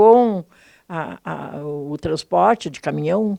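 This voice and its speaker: Very slow speech from a woman with ordinary pitch variation, on a very clean recording with a silent background. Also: dry, close sound with no echo. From rural Pelotas, southern Rio Grande do Sul, Brazil. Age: 70s. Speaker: city councillor. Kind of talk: interview. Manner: halting.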